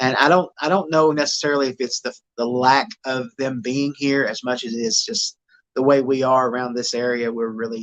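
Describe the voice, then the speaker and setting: With an East Tennessee accent, a man talks at a fairly quick pace, his medium pitch showing ordinary variation. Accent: Southern American (East Tennessee). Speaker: Bigfoot investigator. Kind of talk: podcast interview answer.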